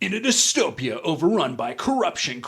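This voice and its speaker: Using a put-on character voice, a man speaks high in pitch at a moderate pace. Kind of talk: announcer-style. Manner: dramatic, over-the-top narration.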